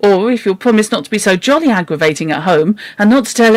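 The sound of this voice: Lively intonation in an unforced reading voice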